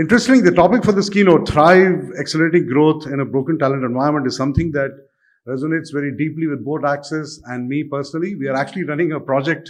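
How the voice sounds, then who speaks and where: Speaking at a very fast pace, a man has a fairly high pitch. His pitch variation is ordinary. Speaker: bank chief executive, keynote speaker. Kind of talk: keynote speech.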